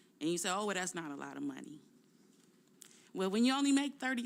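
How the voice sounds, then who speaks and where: Vocal fry runs through this woman's voice as her pitch swings very widely. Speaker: union president and bus driver. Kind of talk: testimony. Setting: legislative committee hearing.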